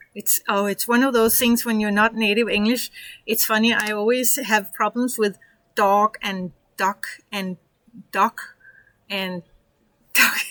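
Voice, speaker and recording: A woman with a Danish accent speaks at a fairly slow pace with long, frequent pauses. Her intonation is monotone and flat, and the sound is dry and close with no echo. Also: fairly high pitch for a woman. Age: 50s. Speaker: online business coach. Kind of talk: tutorial. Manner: casual, halting.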